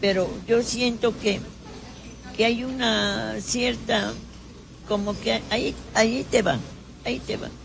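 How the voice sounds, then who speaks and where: Speaking at a very slow pace with long, frequent pauses, a woman is heard amid noticeable background noise and audible room echo. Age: 90s. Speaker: retired teacher. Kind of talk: casual interview. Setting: café.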